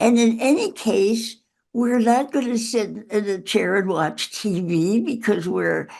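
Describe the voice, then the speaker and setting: A very slow delivery in a dark, mellow tone with vocal fry. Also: woman. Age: 80s+. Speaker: author. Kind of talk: interview.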